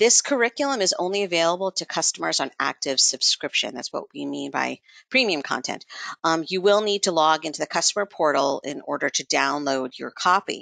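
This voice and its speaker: In a dry, close recording with no echo and a quiet background, a woman speaks with lively intonation and vocal fry. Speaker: education outreach team member. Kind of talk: webinar presentation. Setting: online webinar.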